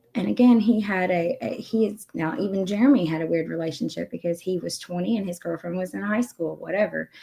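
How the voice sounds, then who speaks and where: A woman talks quietly at a fairly quick pace. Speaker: YouTube commentary streamer. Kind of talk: casual chat.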